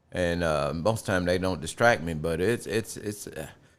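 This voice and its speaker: A man with an American accent talks at a very fast pace in a very deep, low pitch, his intonation lively. The recording is very clean, with a silent background. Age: 60s. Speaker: retired air conditioning repairman. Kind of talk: casual chat. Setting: home man cave.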